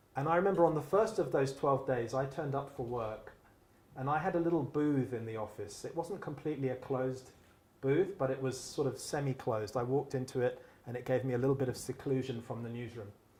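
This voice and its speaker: A man speaks very fast at a medium pitch, with ordinary pitch variation and audible room echo. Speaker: moderator and newspaper editor. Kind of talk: moderated public conversation. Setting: public event hall with microphone and audience. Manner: loud.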